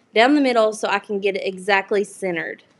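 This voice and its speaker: A woman speaks with a Southern US accent. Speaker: crafting YouTuber. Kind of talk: live crafting tutorial. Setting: livestream. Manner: casual, chatty.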